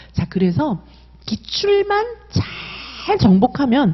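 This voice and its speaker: A somewhat breathy woman in an animated tone with very wide pitch swings. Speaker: exam prep instructor. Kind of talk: sales pitch.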